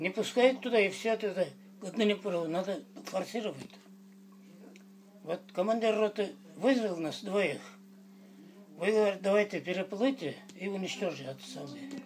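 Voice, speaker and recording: Pitched high for a man, this speaker uses ordinary pitch variation at a moderate pace. Long, frequent pauses break up his speech, and noticeable background noise sits underneath. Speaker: war veteran. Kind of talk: interview answer.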